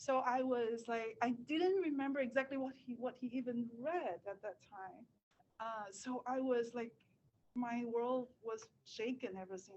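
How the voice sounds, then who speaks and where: This woman has a high-pitched voice. She speaks at a fairly slow pace. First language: Cantonese. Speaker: writer. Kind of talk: talk at a reading event. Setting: live reading event with webinar audience. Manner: hesitant, many fillers.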